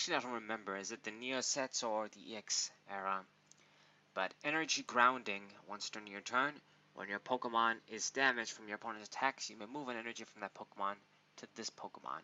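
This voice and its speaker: Speaking very fast with a non-native accent, a man at a medium pitch shows ordinary pitch variation and big swings in loudness. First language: not English. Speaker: pokemon card reviewer. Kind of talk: casual card review monologue. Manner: hesitant, with fillers.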